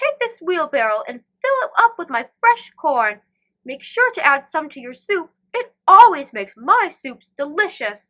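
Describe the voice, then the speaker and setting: In a put-on character voice pitched extremely high, a woman speaks at a moderate pace with very wide pitch swings and big swings in loudness, on a very clean recording with a silent background. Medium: read story. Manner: hearty, friendly.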